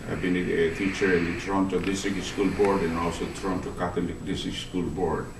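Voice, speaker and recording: A man's very deep, low voice with audible room echo. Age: 70s. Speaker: meeting moderator and teacher. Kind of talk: formal meeting chairing. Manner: halting.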